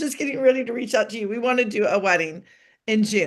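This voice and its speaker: A woman speaks against a quiet background. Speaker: celebrity wedding planner. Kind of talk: podcast interview. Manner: fast; animated.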